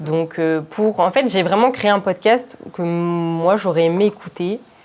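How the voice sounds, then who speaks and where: With ordinary pitch variation, a woman talks very slowly at a medium pitch. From Paris suburbs, Val-de-Marne. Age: 20s. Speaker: entrepreneur, product manager. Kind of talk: casual interview.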